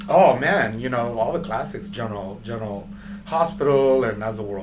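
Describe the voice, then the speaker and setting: This man holds a moderate pace. His voice carries an audible room echo. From San Antonio, Texas (west side). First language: Spanish. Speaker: artist. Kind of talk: interview. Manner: halting, many fillers.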